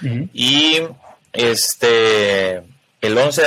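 In a Costa Rican accent, a man talks at a medium pitch with a bright, sharp tone and ordinary pitch variation. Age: 20s. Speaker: wheelchair user, former youth footballer. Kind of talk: testimony.

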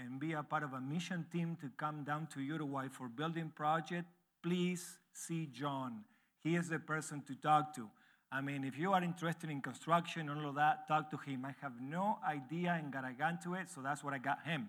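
A man's fairly high voice at a moderate pace, with ordinary pitch variation, on a very clean recording with a silent background. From Argentina. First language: Spanish. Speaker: missionary church planter preaching as visiting speaker. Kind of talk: sermon. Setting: church. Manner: halting, non-native phrasing.

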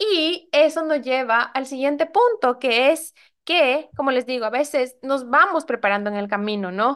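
Against a quiet background, a woman with a high voice speaks fairly slowly with lively intonation. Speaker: life coach and podcast host. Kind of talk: solo podcast monologue.

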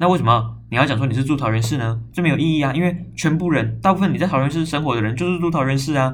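Somewhat breathy, a man talks at a very fast pace with lively intonation. His voice carries audible room echo. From Taiwan, Zhongli (Taoyuan). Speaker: podcast host. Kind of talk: casual solo talk. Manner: animated.

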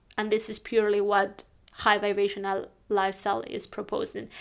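Her pace is moderate. A woman with a fairly high pitch talks with a Spanish accent. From northern Spain. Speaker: life coach. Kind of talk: podcast monologue.

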